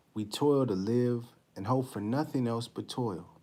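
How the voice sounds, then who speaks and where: Soft-spoken, a man talks at a fairly slow pace in a dark, mellow tone. His pitch is medium, with ordinary variation. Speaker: religious study class teacher. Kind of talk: live-stream class talk; scripture reading and class discussion. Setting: live stream.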